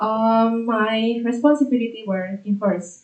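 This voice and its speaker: Intonation stays fairly even from this woman. Her pitch sits fairly high. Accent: Indonesian. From Indonesia, South Tangerang near Jakarta. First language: Indonesian. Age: 20s. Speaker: doctoral student. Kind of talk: academic progress presentation. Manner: halting, many fillers.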